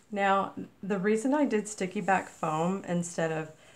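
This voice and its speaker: A woman speaks at a fairly slow pace. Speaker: craft YouTuber. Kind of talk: tutorial. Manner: casual, halting.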